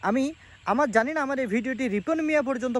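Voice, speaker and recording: In a dry, close recording with no echo, a man talks at an extremely high pitch with ordinary pitch variation. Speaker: vlogger. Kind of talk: opinion monologue. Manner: formal.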